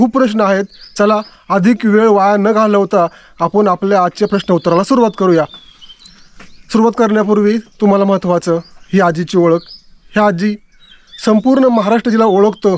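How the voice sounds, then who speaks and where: A man's high pitch, fairly even intonation and very even loudness, dry and close with no echo. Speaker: YouTube interviewer. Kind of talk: casual talk to camera.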